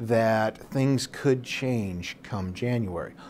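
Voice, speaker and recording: Man's fairly low voice with ordinary pitch variation over light background noise. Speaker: guest. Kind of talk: interview answer. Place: studio.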